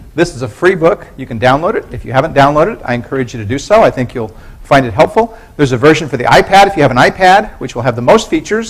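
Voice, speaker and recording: Over noticeable background noise, a man talks at a very fast pace with a fairly high pitch, very wide pitch swings and big swings in loudness. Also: hardly any pauses. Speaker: university professor. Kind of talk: lecture.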